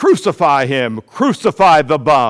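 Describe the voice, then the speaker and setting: A man shouts in a booming, put-on character voice at a fairly high pitch. He goes at a fairly slow pace, with very wide pitch swings. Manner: shouting.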